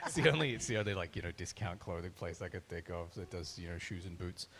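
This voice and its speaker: The speaker is a man. His voice sits very deep and low. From Australia. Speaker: voice actor. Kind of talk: panel discussion. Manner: animated.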